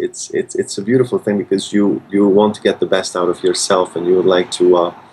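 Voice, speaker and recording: The speaker is a man with a Hungarian accent. He talks at a fairly quick pace. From Hungary, Budapest. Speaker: concert pianist. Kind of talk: interview. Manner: halting, many repetitions and fillers.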